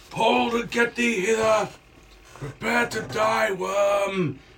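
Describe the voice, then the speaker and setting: A man does a put-on character voice at a high pitch. His intonation is lively and his pace very slow. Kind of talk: archaic, theatrical. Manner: commanding, battle-ready.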